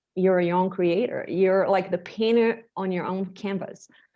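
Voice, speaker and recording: A woman speaks very slowly in a Portuguese accent. Her medium-pitched voice keeps fairly even intonation. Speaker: bodywork practitioner, former medical interpreter. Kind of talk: interview.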